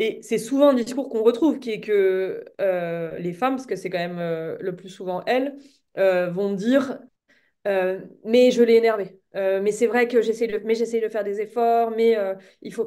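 Against a quiet background, a woman speaks at a fairly slow pace, her loudness swinging widely while her pitch varies in an ordinary way. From French Alps (France); France. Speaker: novelist; guest. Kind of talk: interview. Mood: thoughtful, calm. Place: home room. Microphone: webcam.

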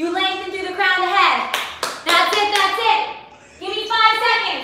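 A raised, projected voice with strong room echo and light background noise. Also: woman. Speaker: fitness instructor. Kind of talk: workout coaching cues. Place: home room.

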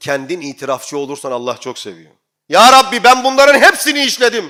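Animated and bright with a sharp tone, a man speaks at a fairly quick pace. His pitch swings very widely. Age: 40s. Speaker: imam. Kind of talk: sermon.

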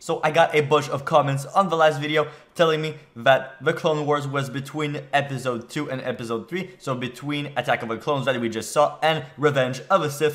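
With hardly any pauses, a man keeps a moderate pace and fairly even intonation. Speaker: movie reaction channel host. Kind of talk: casual vlog chat. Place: home room.

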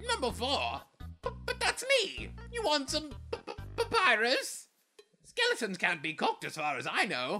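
With long, frequent pauses, a put-on character voice moves at a moderate pace over faint music in the background. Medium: fan dub. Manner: loud, enthusiastic, theatrical.

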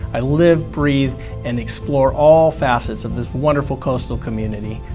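Clear music plays behind a man who speaks with an American accent at a moderate pace. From Southern California. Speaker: real estate agent. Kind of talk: real estate agent promotional introduction to camera. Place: studio.

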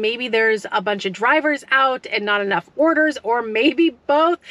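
In a dry recording with no echo, a woman with a high voice talks at a fairly slow pace with ordinary pitch variation. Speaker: food delivery driver vlogger. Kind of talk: casual vlog chat. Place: car. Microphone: phone near.

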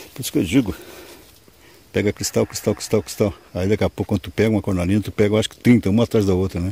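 At a very fast pace, the voice sounds somewhat breathy, with fairly even intonation and a dry sound with no echo. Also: man, fairly low pitch for a man. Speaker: stone prospecting vlogger. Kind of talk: outdoor vlog narration. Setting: outdoors in the woods. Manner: casual, filler-heavy. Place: open country. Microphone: phone near.

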